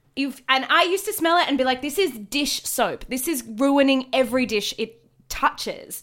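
With lively intonation, a woman speaks in a high pitch with an Australian accent. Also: moderate pace. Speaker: comedian. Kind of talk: casual chat.

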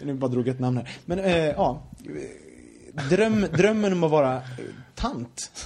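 With a Gothenburg accent, a man speaks at a fairly slow pace in a fairly high voice, using lively intonation and long, frequent pauses over noticeable background noise. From Sweden, Gothenburg. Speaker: podcast host. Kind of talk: casual chat.

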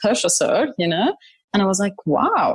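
A woman speaks with an Arabic accent. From Saudi Arabia and Syria. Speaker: corporate services leader. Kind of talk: interview.

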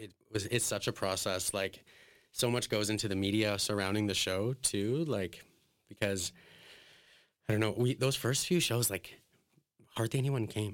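In a Western Canadian accent, a man talks at a fairly low pitch with ordinary pitch variation. His moderate pace is broken by long, frequent pauses on a very clean recording with a silent background. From Alberta, Canada. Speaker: drag performer. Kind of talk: casual interview.

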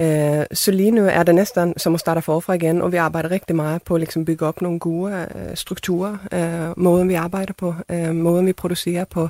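At a moderate pace, a woman talks in a fairly low pitch with a dark, mellow tone and monotone, flat intonation. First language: Swedish (speaking Danish). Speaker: theatre director. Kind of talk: panel discussion.

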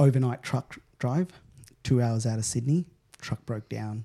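A man's somewhat breathy, dark and mellow voice at medium pitch, with an Australian accent, moderate pace and ordinary pitch variation, in a very clean, dry, close recording with a silent background and no echo. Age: 30s. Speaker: event technology CEO. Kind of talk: interview.

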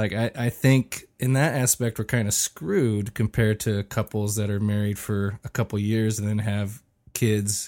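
In a plain, everyday voice, a man speaks at a moderate pace with fairly low pitch, fairly even intonation and hardly any pauses, the sound dry and close with no echo on a very clean recording with a silent background. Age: 40s. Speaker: expectant father. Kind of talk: casual chat.

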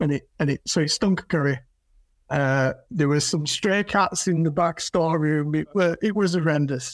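A high-pitched man with a Yorkshire accent at a moderate pace, very even loudness and ordinary pitch variation, in a very clean recording with a silent background. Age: 40s. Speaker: flooring retailer. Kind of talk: casual chat.

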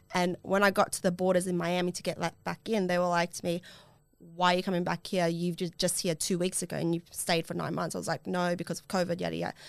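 Very fast and flat, a woman talks in a monotone with an Australian accent. Her pitch is fairly low. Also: very clean recording, silent background. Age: 20s. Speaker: podcast host. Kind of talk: casual chat.

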